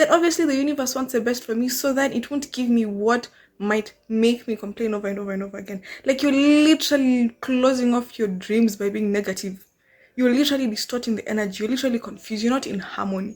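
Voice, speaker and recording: In a Kenyan accent, a woman talks at a very fast pace and a high pitch. Her pitch varies in an ordinary way, on a very clean recording with a silent background. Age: 20s. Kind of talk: casual talk to camera. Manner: conversational, animated.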